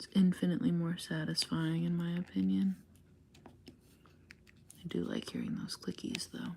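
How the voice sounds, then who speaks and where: A soft-spoken woman is talking. She goes at a fairly slow pace. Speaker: craft livestreamer. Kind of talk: casual livestream chat while crafting. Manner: quiet, soft-spoken.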